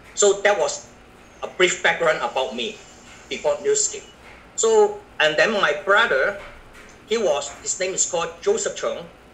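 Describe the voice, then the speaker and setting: A man talks at a fairly slow pace, pausing long and often, with noticeable background noise around him. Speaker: network marketing business presenter. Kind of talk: business presentation. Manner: halting.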